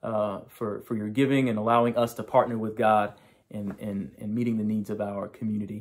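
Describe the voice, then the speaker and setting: Against a quiet background, a man is talking. His pace is moderate. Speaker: pastor. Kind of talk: sermon opening address. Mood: warm, grateful. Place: home room. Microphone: phone near.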